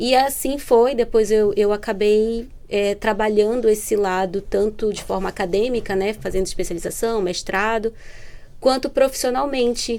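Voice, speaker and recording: A woman with a Pará accent speaks at a fairly high pitch with fairly even intonation. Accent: northern Brazilian (Pará) accent, noticeable. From northern Brazil (Belém, Pará). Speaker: entrepreneurship program manager. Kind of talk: podcast interview.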